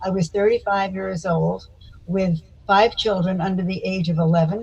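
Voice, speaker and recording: Speaking with an American accent, a woman uses a fairly low, somewhat breathy voice with monotone, flat intonation at a moderate pace. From US South, Florida (Miami Beach). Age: 80s+. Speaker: psychotherapist. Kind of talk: interview.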